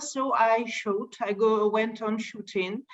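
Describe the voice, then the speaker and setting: A woman talks at a very slow pace in a Russian accent. Her pitch sits fairly high. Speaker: light painting photographer. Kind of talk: interview. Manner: halting.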